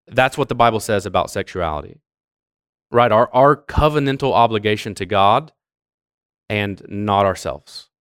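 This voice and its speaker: A plain, everyday voice from a man, fairly low in pitch with ordinary pitch variation, at a moderate pace on a very clean recording with a silent background. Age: 30s. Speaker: church youth pastor teaching a parents' class. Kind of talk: church class lecture. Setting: church classroom with audience.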